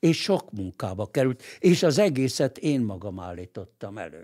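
Very slowly, a man talks with a quiet background behind him. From Hungary, Budapest; Hungary. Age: 80s+. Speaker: lawyer and political writer; podcast guest. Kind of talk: interview. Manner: halting, with repeated words. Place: studio. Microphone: studio mic.

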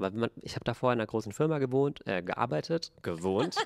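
With ordinary pitch variation, a man talks at a fairly quick pace over a quiet background. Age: 20s. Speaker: podcast co-host. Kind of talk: casual chat. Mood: relaxed, animated. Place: studio. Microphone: handheld.

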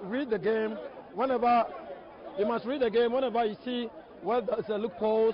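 This man's pitch is extremely high, and he talks at a moderate pace. The sound is dry with no echo, though background noise is noticeable. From Ghana. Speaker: football coach. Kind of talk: post-match interview. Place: stadium.

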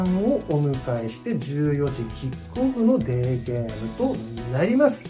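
Clear music plays in the background as the voice moves at a fairly slow pace with very wide pitch swings. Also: woman. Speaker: football supporter. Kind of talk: casual vlog talk to camera. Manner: polite, enthusiastic. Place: home room. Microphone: phone near.

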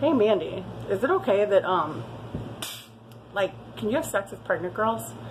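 Faint background noise accompanies a woman as she talks. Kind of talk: casual vlog chat. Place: bar. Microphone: phone near.

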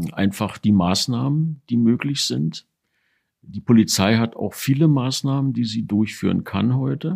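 A man's medium-pitched voice with lively intonation at a fairly slow pace, on a very clean recording with a silent background. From Berlin, Germany. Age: 60s. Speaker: retired investigating judge. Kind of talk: interview recollection. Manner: formal.

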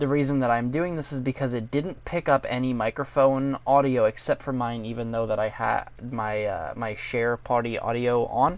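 A man talks at a moderate pace with hardly any pauses, his medium pitch showing ordinary variation. The recording is very clean, with a silent background. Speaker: gaming youtuber. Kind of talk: casual gaming video intro and gameplay commentary. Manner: self-described as not good at talking, uses fillers.

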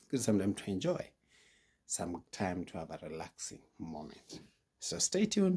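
A man's somewhat breathy voice, fairly low in pitch, with lively intonation. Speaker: vlogger. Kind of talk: casual vlog chat. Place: home room. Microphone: phone near.

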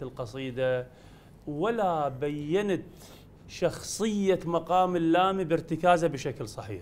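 Over light background noise, a man speaks very slowly with lively intonation. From Iraq. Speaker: judge on a religious chanting talent show, Quran reciter; talent show judge. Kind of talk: talent show judging feedback. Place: studio.

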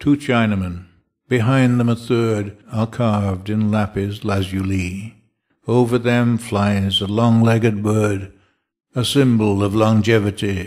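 In a plain, everyday voice, a man speaks at a fairly slow pace and a fairly low pitch on a very clean recording with a silent background. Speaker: poet reading. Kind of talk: reading a poem aloud, measured and dramatic. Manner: slow, deliberate, expressive.

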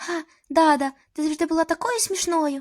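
A woman uses a squeaky, put-on character voice at an extremely high pitch and a moderate pace. The sound is dry and close, with no echo. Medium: cartoon. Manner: warm, enthusiastic.

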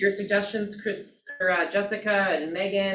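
A woman talks with audible room echo. Light background noise sits underneath. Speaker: real estate agent. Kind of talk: team meeting discussion. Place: meeting room. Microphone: camera far.

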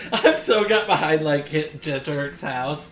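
The voice belongs to a man. Room echo can be heard around it. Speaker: anime reaction creator. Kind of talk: reaction commentary. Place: home room.

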